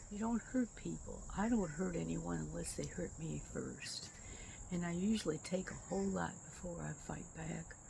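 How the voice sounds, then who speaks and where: Audible room echo surrounds a woman speaking with an Inland North accent. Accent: US Midwest (Inland North). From Michigan, Detroit. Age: 80s+. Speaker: vlogger. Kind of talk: personal monologue. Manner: halting.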